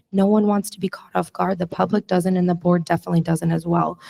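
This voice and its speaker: A woman's medium-pitched voice has a dark, mellow tone and sounds somewhat breathy. Her intonation is fairly even, and the sound is dry and close with no echo. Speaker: school board candidate. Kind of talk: candidate forum answer. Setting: school cafeteria event.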